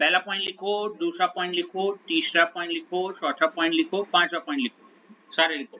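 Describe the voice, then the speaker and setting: This man's voice is high in pitch, with fairly even intonation. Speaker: chemistry teacher. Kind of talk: lecture.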